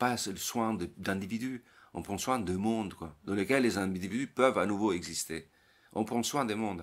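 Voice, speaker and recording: At a moderate pace, a man speaks with lively intonation in a very clean recording with a silent background. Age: 50s. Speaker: psychologist and author. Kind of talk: interview conversation. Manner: halting, with repetitions.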